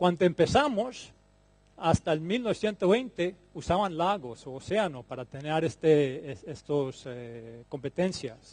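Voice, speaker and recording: At a fairly slow pace, a man speaks in a fairly high pitch, his loudness swinging widely. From Colombia. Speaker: plant breeding scientist. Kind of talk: conference talk. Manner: halting, with fillers and repetitions.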